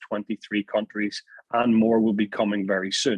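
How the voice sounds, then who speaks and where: A man with a Northern Irish accent, medium in pitch, at a fairly quick pace. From Northern Ireland. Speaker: network marketing presenter. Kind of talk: sales pitch. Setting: video call. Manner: animated.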